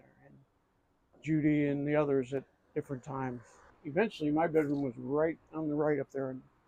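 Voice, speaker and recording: Speaking with an American accent at a fairly quick pace, a man keeps a monotone, flat intonation while his loudness swings widely. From US Midwest, Akron, Ohio. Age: 70s. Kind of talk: casual chat. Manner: halting.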